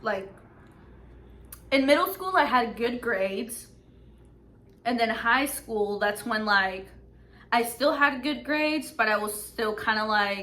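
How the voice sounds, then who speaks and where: In a room with audible echo, a woman speaks at a fairly slow pace with long, frequent pauses, a fairly high pitch and lively intonation. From Mexico. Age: 20s. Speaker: YouTuber. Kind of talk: casual chat. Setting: background noise.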